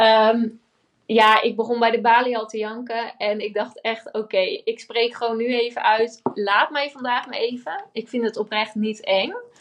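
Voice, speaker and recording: Her pitch fairly high, a woman with an unremarkable speaking voice talks at a moderate pace with fairly even intonation. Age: 20s. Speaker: entrepreneur. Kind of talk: interview.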